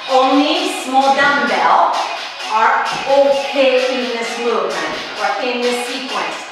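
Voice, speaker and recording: A woman's voice comes with strong room echo and clear music in the background. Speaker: fitness instructor. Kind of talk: workout class instruction. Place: home room.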